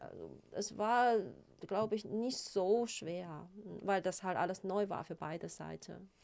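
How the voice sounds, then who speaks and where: Very slowly, a woman speaks with vocal fry, ordinary pitch variation and big swings in loudness. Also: medium pitch for a woman. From China. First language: Chinese (speaking German). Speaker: psychotherapist. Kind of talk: interview. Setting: studio. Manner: hesitant, with many fillers.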